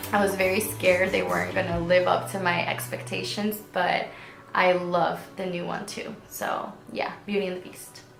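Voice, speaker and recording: A woman with a Spanish accent speaks at a moderate pace, with audible room echo and music playing in the background. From Venezuela. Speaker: beauty vlogger. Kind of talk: casual Q&A vlog.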